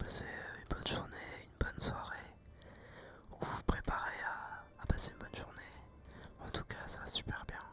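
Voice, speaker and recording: Whispering at a moderate pace in a relaxed tone, the speaker is heard over noticeable background noise. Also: man. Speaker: ASMR content creator and gamer. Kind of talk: casual talk to camera while playing a video game. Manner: relaxed, chatty.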